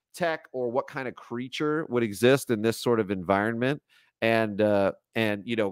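The voice has ordinary pitch variation, with a quiet background and a dry sound with no echo. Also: man. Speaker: art instructor. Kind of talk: live tutorial commentary. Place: home room. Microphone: headset.

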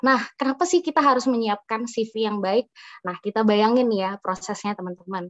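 An ordinary speaking voice with ordinary pitch variation, dry sound with no echo, and a quiet background. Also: woman. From Indonesia. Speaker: doctor and public health officer; webinar speaker. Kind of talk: tutorial. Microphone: video call.

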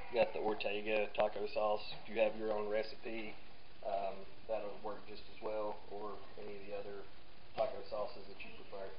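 Over noticeable background noise, a man talks at a moderate pace. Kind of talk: tutorial. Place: kitchen. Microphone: camera far.

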